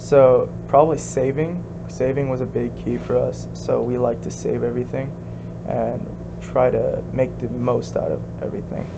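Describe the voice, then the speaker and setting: A man talks at a fairly slow pace. Audible room echo and noticeable background noise fill the recording. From US, second-generation Korean immigrant. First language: Korean. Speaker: interviewee, second-generation immigrant. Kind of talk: casual interview. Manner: hesitant, many fillers.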